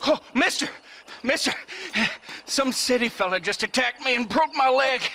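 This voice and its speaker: In a put-on character voice, a man drawls at a moderate pace, raised and projected, with an extremely high pitch. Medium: video game. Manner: folksy, rural drawl.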